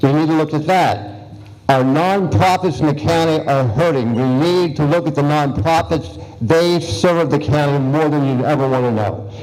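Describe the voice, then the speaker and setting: A man with an American accent talks at a moderate pace in a fairly high pitch, with ordinary pitch variation and very even loudness, amid audible room echo and noticeable background noise. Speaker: incumbent county supervisor candidate. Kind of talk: campaign speech at candidate forum. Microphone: poor audio recording.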